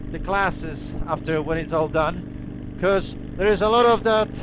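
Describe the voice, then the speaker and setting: With noticeable background noise behind him, a man with a Polish accent talks in a high pitch with ordinary pitch variation. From Poland. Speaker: motorcycle vlogger. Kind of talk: casual vlog monologue. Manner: halting.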